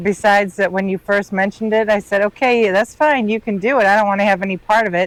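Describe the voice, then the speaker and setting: A woman with a Midwestern US accent speaks at a very fast pace. Her medium pitch shows ordinary variation, and the sound is dry and close with no echo. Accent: US Midwest. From Northern Illinois. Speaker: boater and remote worker. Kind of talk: casual chat. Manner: quiet, reserved.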